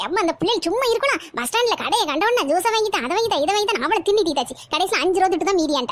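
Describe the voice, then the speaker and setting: A woman does a cartoonish character voice at an extremely high pitch, moving fairly quickly with very wide pitch swings. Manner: loud, scolding.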